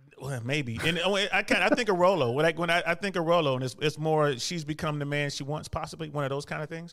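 At a very fast pace, a man talks in a fairly high voice with ordinary pitch variation. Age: 50s. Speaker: caller, army veteran. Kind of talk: casual chat.

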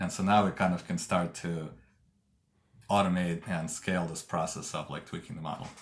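With a Russian accent, a man with a very deep, low pitch talks at a fairly quick pace in a monotone, flat intonation. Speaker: tech company co-founder and engineering executive. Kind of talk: interview. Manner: hesitant, many fillers.

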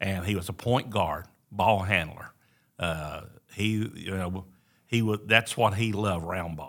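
In an Appalachian accent, a man with a fairly low pitch speaks at a fairly slow pace with fairly even intonation, on a very clean recording with a silent background. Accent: Southern American (Appalachian). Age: 70s. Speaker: pastor. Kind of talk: casual chat. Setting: recorded on site at a church event.

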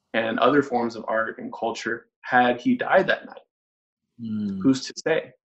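At a fairly slow pace, a man with an unremarkable speaking voice talks at medium pitch with fairly even intonation. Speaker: musician. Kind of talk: casual interview.

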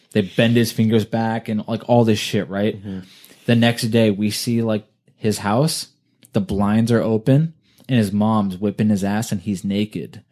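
A man speaks with a Californian accent at a moderate pace. His voice is fairly low with a dark, mellow tone. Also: fairly even intonation. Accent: Californian American. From US West Coast, California. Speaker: podcast host. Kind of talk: casual chat. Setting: home recording session.

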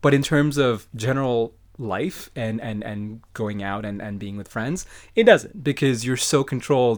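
A normal speaking voice from a man at medium pitch, fairly slow in pace, on a very clean recording with a silent background. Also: ordinary pitch variation. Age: 30s. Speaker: podcast guest, friend of host. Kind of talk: casual chat.

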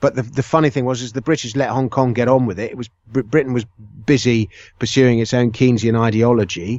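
Speaking at a very fast pace, a man with an English accent keeps a fairly even intonation. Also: medium pitch for a man. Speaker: author. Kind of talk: casual chat.

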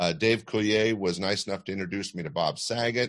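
Speaking at a fairly quick pace, a man with an American accent uses a fairly low pitch and ordinary pitch variation. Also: quiet background. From Sacramento, California. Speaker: comedy club owner. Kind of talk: interview. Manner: hesitant fillers.

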